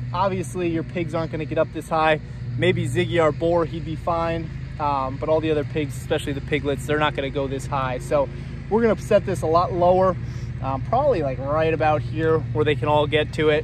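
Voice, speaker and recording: A man speaks at a fairly quick pace in a fairly high pitch with ordinary variation. There is noticeable background noise and audible room echo. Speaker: farmer. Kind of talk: tutorial. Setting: outdoors. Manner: loud.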